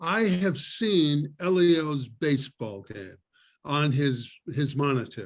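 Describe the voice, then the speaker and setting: Speaking very slowly, a man uses a fairly high pitch and lively intonation. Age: 80s+. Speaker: retired entertainment executive, game inventor. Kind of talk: casual chat.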